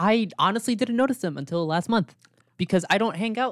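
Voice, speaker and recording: Talking at a very fast pace with lively intonation, a man is heard in a dry, close sound with no echo. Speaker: podcast co-host. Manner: casual, filler-heavy.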